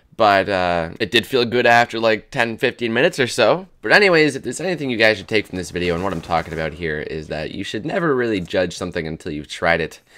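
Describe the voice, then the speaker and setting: Talking at a very fast pace with hardly any pauses, a man with a fairly low pitch and a bright, sharp tone makes very wide pitch swings. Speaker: gaming youtuber. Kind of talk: casual vlog commentary over gameplay. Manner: animated.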